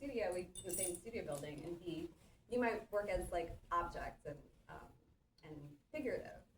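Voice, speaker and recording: A woman's fairly low voice at a moderate pace, with ordinary pitch variation, long and frequent pauses, and audible room echo. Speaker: interdisciplinary artist. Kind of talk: artist talk conversation. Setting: theatre with live audience, no working mic. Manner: loud, projecting teacher voice.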